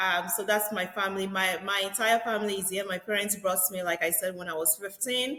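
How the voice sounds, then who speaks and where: A woman speaks with a Nigerian accent at a medium pitch. Her intonation is fairly even, and background noise is noticeable. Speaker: real estate agent. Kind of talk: podcast interview.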